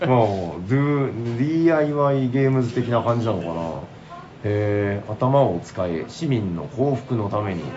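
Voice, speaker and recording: Very slowly, a medium-pitched man speaks with lively intonation. The recording has audible room echo and noticeable background noise. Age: middle-aged. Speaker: podcast host. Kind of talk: casual chat. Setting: convention hall.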